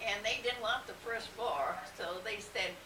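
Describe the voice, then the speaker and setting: This woman's voice sits fairly high. Noticeable noise can be heard in the background. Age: 80s+. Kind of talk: reminiscing interview answer. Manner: hesitant, rambling.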